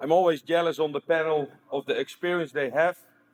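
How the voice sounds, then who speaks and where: This is a man speaking. His Dutch accent is strong. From Netherlands. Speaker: stabilizer company owner, panelist. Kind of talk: panel introduction. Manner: halting.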